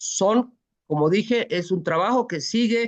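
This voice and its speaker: This is an ordinary speaking voice at a fairly slow pace. The intonation is lively. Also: woman. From Bolivia. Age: 60s. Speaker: presidential pre-candidate. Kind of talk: interview.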